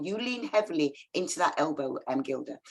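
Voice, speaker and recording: A woman with a fairly high pitch speaks in an energetic tone, her voice swinging very widely in pitch and showing vocal fry. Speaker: yoga teacher. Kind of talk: yoga class instruction. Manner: directive, energetic.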